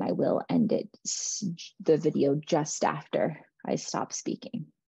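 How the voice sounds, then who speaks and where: Over a quiet background, a woman speaks in a fairly low pitch with a dark, mellow tone and vocal fry. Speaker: meditation guide. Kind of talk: guided meditation. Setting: online video, listened to with headphones. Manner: intimate, hushed, with long pauses.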